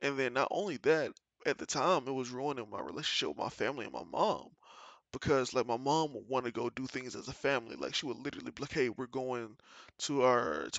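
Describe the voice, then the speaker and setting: Talking at a fairly quick pace, a man uses an animated tone marked by vocal fry. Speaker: gaming streamer and vlogger. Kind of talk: personal monologue. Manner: loud.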